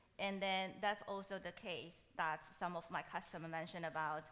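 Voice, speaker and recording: A woman speaks at a moderate pace with a fairly low pitch and a bright, sharp tone. Her intonation is monotone and flat. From Taiwan. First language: Mandarin. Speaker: machine learning solutions architect, conference speaker. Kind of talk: conference Q&A.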